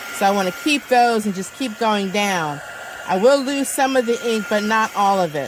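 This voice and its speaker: Speech at a moderate pace over noticeable background noise, the intonation lively. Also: woman, fairly high pitch for a woman. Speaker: crafts video maker. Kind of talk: tutorial. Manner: loud.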